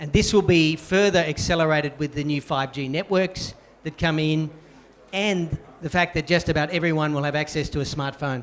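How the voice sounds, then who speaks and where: At a moderate pace, the speaker uses fairly even intonation in an Australian accent. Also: man, fairly high pitch for a man. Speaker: banking executive. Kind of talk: panel discussion.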